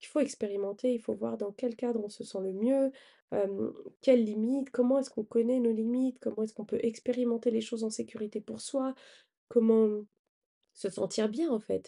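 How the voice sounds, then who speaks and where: With a dark, mellow tone and fairly high pitch, a woman speaks at a moderate pace with fairly even intonation. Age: 40s. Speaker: life coach and podcast host. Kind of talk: motivational podcast monologue. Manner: hesitant, frequent filler 'euh'.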